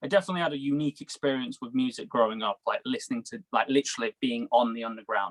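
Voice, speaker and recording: With hardly any pauses, a man of medium pitch talks very fast with lively intonation in a dry, close sound with no echo. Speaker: musician, band frontman. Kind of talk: casual interview. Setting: video call.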